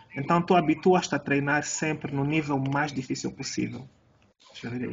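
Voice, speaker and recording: There is noticeable background noise behind a man with a fairly high pitch. He speaks at a moderate pace with fairly even intonation. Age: 40s. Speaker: jiu-jitsu coach and podcast host. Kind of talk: casual interview.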